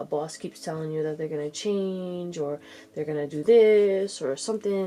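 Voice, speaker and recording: Medium pitch with ordinary variation in a woman's plain, everyday voice. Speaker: tarot reader. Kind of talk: tarot reading. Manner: casual.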